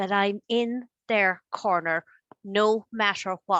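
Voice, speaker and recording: In an Irish accent, a woman talks at a medium pitch with ordinary pitch variation. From Ireland. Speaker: life coach. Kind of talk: interview.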